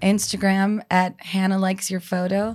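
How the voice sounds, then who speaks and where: On a very clean recording with a silent background, a woman's somewhat breathy voice holds a monotone, flat intonation. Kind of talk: casual chat.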